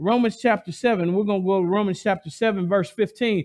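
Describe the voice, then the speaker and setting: In an animated tone, a man speaks with a high pitch. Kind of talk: sermon, expository Bible teaching with call-and-response. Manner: animated, urgent, pleading with listeners to respond; conversational, pausing to ad-lib and draw in the congregation.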